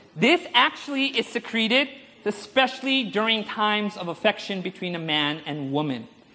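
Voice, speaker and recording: An animated tone at a moderate pace, with noticeable background noise. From India. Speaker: preacher. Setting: conference stage with audience. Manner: humorous, engaging, audience-prompting.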